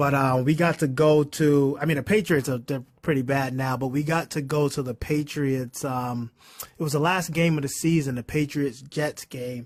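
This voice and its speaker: A man with a Boston accent talks at a moderate pace in a fairly high pitch, keeping his intonation fairly even. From Boston, Massachusetts. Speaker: investor and accountant. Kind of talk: casual chat.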